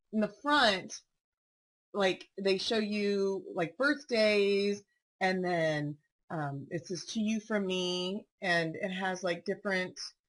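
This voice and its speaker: A woman speaks at a medium pitch with ordinary pitch variation. Her pace is very slow. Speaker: paper crafting video host. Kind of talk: product walkthrough tutorial. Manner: casual, chatty with many fillers.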